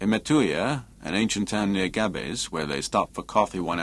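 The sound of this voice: An unforced reading voice carries the words with lively intonation.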